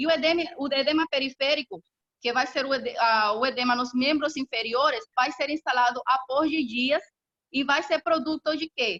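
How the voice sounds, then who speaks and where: The tone is bright and sharp, with ordinary pitch variation. The sound is dry and close, with no echo. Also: woman, high pitch for a woman. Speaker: professor. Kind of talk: lecture. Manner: fast.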